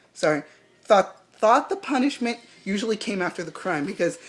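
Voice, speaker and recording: With music playing in the background, a woman speaks at a medium pitch. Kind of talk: casual review talk to camera. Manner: rambling, hesitant.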